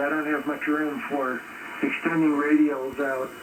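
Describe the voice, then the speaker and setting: Over noticeable background noise, a man talks at a moderate pace with a fairly high pitch and monotone, flat intonation. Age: 70s. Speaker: ham radio operator. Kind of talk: casual chat. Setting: radio contact. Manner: halting.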